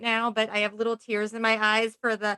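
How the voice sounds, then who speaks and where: Loud and with a bright, sharp tone, a woman speaks at a moderate pace and a fairly high pitch in a dry, close sound with no echo. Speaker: podcast host. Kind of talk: casual interview chat.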